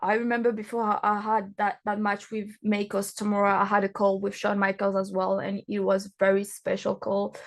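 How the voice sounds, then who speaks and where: A woman at a medium pitch and moderate pace against a quiet background. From France. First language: not English; English is her third language. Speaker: professional wrestler. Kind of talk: interview. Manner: halting, many fillers.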